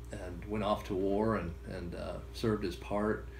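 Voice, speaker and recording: A man speaks at a fairly low pitch with vocal fry. Room echo is audible. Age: 60s. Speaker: grandson of a war veteran. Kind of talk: interview storytelling. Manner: halting with many fillers.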